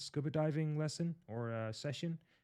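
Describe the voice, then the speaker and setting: In a Dutch accent, a man with a dark, mellow tone talks at a moderate pace with ordinary pitch variation. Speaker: podcast host. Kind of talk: casual chat. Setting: video call. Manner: halting.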